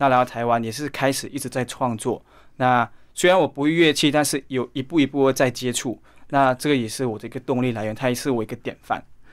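Speaking at a very fast pace with a Malaysian accent, the voice keeps a fairly even intonation. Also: man, medium pitch for a man. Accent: Malaysian Chinese-accented Mandarin. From East Malaysia. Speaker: aspiring singer. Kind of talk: interview.

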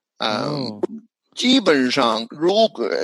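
A man with an English accent speaks at a very slow pace. His fairly high voice moves in very wide pitch swings. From New Zealand. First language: English (speaking Chinese). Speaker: psychologist and language educator. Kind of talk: interview. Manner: halting, with repetitions.

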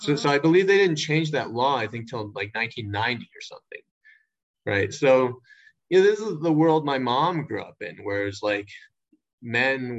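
Speaking at a fairly slow pace, a man with an American accent shows very wide pitch swings and big swings in loudness. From Shanghai, China (American international school). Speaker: artist and former English teacher. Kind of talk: casual interview chat. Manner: halting, many fillers and repeats.

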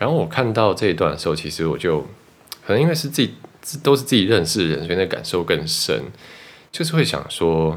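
Very fast yet broken by long, frequent pauses, a man speaks at a very deep, low pitch with very wide pitch swings. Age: 30s. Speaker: podcast host. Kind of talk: casual chat.

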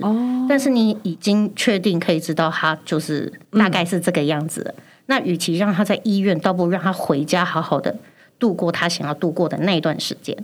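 A woman with a medium-pitched voice speaks at a moderate pace with ordinary pitch variation. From Taiwan, Chiayi. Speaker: pharmacist. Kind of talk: casual chat. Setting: studio.

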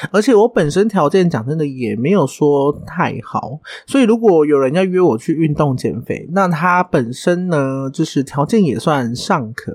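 A man with an ordinary speaking voice, fairly high in pitch, with lively intonation at a fairly slow pace. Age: 30s. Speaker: podcast host and hairdresser. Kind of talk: casual solo monologue.

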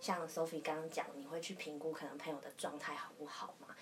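Talking at a fairly quick pace, a woman with a very deep, low pitch is heard over noticeable background noise. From southern Taiwan. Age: young. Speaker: podcast guest. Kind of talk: casual chat.

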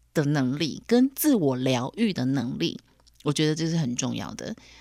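At a fairly slow pace, the voice rises and falls through very wide pitch swings in a very clean recording with a silent background. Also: woman. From Taiwan. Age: 40s. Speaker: podcast host. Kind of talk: solo podcast monologue. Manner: animated.

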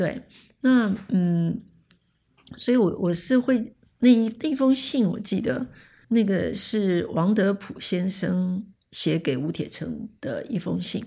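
A woman with a medium pitch speaks very slowly in a dark, mellow tone. She sounds somewhat breathy, with lively intonation. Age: 70s. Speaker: communication scholar, retired professor. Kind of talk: interview, personal recollection. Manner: halting, many fillers and repetitions.

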